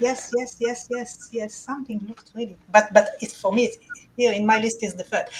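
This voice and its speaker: With an Israeli accent, a woman speaks at a fairly high pitch in a flat monotone, her loudness swinging widely. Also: moderate pace. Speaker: awards committee chair. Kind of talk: award announcement. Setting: virtual conference.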